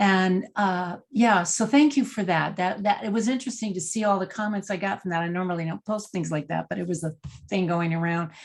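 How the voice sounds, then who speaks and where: Somewhat breathy, a woman speaks fairly quickly at medium pitch with ordinary pitch variation. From Texas, San Antonio. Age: 70s. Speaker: executive leadership coach, former actress. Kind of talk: interview conversation.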